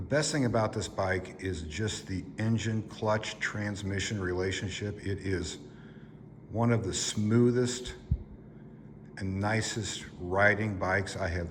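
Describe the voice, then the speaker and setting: With audible room echo and noticeable background noise, a man speaks fairly slowly in a fairly low pitch with ordinary pitch variation. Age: 60s. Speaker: motorcycle vlogger. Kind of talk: casual product review.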